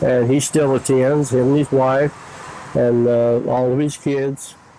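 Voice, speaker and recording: A man with an American accent, medium-pitched, fairly slow, in monotone, flat intonation with big swings in loudness. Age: 70s. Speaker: church member. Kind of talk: interview.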